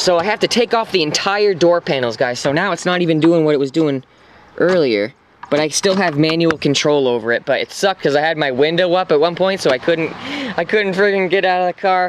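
A man's high voice at a very fast pace, with ordinary pitch variation, light background noise and a dry sound with no echo. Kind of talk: casual vlog chat. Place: car. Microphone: phone near.

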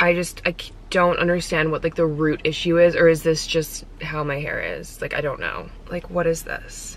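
A woman talks at a moderate pace with big swings in loudness, her voice dry with no echo. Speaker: lifestyle vlogger. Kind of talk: casual vlog chat. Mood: slightly frustrated about hair. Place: car. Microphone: phone near.

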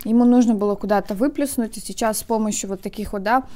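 The voice is a woman's. She speaks at a very fast pace. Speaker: food vlogger. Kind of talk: casual vlog chat. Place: home room. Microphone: phone near.

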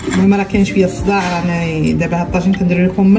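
Clear music plays in the background as the voice moves at a fairly quick pace. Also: woman. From Morocco, Taroudant. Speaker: home cook. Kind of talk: casual cooking tutorial talk. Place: kitchen. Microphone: phone near.

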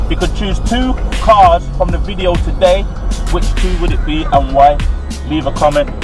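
Clear music runs in the background as a man speaks at a moderate pace. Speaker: car vlogger. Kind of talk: casual vlog chat. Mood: relaxed and upbeat. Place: car. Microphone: camera far.

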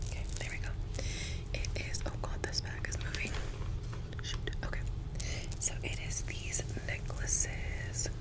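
Against loud background noise, a woman speaks at a fairly slow pace with long, frequent pauses. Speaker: ASMR creator. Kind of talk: ASMR shopping haul. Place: home room. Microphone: studio mic.

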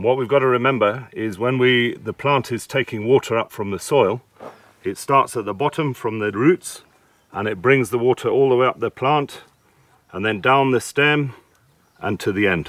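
At a moderate pace, a man speaks with ordinary pitch variation in a dry sound with no echo. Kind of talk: advice explanation to farmer. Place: farm machine.

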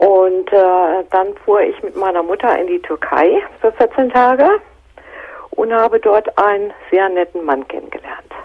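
A normal speaking voice from a woman at a medium pitch, ordinary in pitch variation, at a fairly slow pace over a quiet background. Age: 50s. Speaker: caller. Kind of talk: personal phone-in conversation. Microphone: phone line.

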